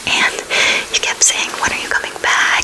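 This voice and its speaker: Whispering from a woman, with noticeable background noise around it. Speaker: ASMR creator. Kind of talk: casual talk to camera, personal chat. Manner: whispered, soft-spoken.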